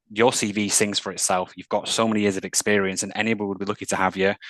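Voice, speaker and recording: Speaking very fast in a Mancunian accent, this man has a fairly low pitch. The sound is dry and close with no echo, and the background is quiet. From northern England, Manchester. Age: 30s. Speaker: mental health employment specialist. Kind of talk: interview.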